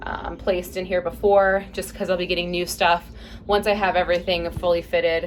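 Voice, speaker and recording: A woman's fairly low voice in a monotone, flat delivery, over noticeable background noise. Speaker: vlogger. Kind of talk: casual vlog tour. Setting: inside a van. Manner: fast.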